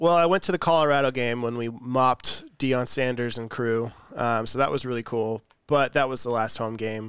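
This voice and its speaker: A plain, everyday voice from a man with an American accent, medium in pitch, at a moderate pace with ordinary pitch variation. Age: 20s. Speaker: podcast host. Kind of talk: casual chat. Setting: remote recording.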